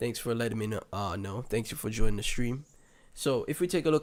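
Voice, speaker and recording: In a very clean recording with a silent background, a man speaks fairly quickly at a medium pitch. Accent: Caribbean. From Saint Kitts and Nevis (Caribbean). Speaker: crypto livestreamer. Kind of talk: casual livestream commentary. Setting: livestream with chat.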